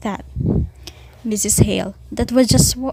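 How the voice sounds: Everything in the clip is read in a natural reading voice.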